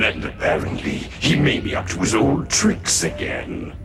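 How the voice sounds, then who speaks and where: Through loud background noise, a man puts on a cartoonish character voice at a moderate pace. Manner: clipped, formal.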